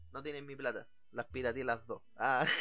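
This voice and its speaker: A man speaks at a moderate pace with a fairly high pitch. His tone is bright and sharp. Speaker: podcast host. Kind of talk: casual chat. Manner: animated.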